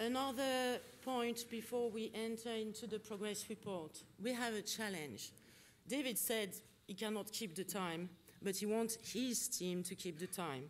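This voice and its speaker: Speaking at a fairly slow pace, a woman has a French accent. Her fairly high pitch shows ordinary variation. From France. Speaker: conference facilitator. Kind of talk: conference opening remarks. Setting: conference hall with audience and interpretation.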